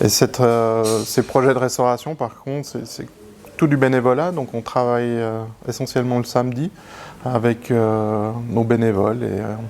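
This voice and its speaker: A man with a medium pitch talks at a fairly slow pace, keeping his intonation fairly even. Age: 40s. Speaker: aviation heritage association president. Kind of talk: interview. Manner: halting.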